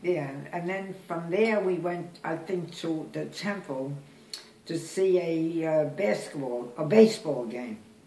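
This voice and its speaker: A woman with an American accent, fairly low in pitch and fairly slow, amid audible room echo. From Brooklyn, New York. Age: 80s+. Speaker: great-grandmother. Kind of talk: interview answer. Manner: hesitant, halting. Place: kitchen. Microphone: phone near.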